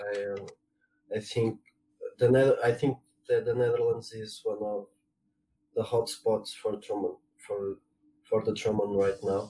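A man with a Portuguese accent talks at a fairly slow pace, leaving long, frequent pauses. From Portugal. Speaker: trombonist. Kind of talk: interview. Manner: halting.

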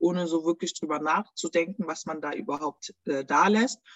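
A woman with an unremarkable speaking voice talks at a fairly slow pace, with a fairly low pitch and ordinary pitch variation. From Germany. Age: 30s. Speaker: small business owner. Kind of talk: interview.

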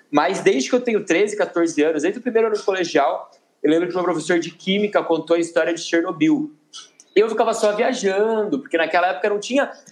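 Speaking at a fairly quick pace, a man uses an animated tone and lively intonation. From Campinas, São Paulo state, Brazil. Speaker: travel content creator. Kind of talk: interview conversation.

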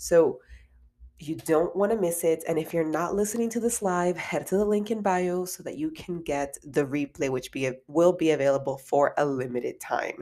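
Animated in tone, a woman with a fairly low pitch speaks at a moderate pace with ordinary pitch variation. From immigrant to the US. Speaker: podcast host, career coach. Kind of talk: podcast interview; solo podcast intro.

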